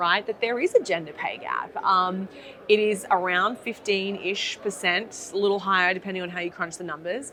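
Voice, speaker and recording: This woman has an Australian accent and a medium pitch. She talks at a moderate pace. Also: fairly even intonation. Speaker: app founder and career coach. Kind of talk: interview. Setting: industry conference.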